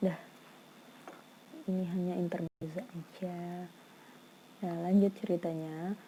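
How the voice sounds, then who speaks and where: A soft-spoken woman talks at a very slow pace with long, frequent pauses and monotone, flat intonation. Her voice is fairly low, dark, mellow and somewhat breathy. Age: 20s. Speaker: vlogger. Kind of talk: casual vlog storytelling.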